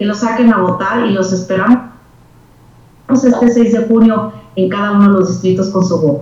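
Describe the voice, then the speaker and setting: A woman's fairly even intonation with long, frequent pauses, amid noticeable background noise and audible room echo. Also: medium pitch for a woman, moderate pace. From northern Mexico, Torreón, Coahuila. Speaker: civic foundation president. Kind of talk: interview conversation.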